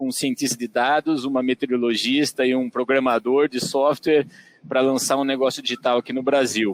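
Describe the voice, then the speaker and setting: A man with a São Paulo interior accent speaks at a medium pitch, the sound dry and close with no echo. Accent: caipira accent from São Paulo interior. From Brazil, Tatuí, São Paulo interior. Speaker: agronomist and digital business executive. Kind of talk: podcast interview. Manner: hesitant, many fillers.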